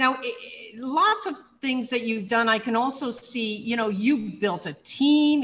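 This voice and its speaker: A woman's fairly high voice, bright and sharp in tone, with lively intonation. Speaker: online show host and entrepreneur. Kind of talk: interview. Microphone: webcam.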